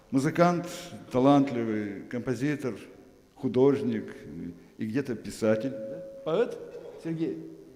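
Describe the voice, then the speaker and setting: Lively intonation from a man at medium pitch, at a very slow pace with long, frequent pauses, big swings in loudness and noticeable background noise. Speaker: event host. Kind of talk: introduction speech.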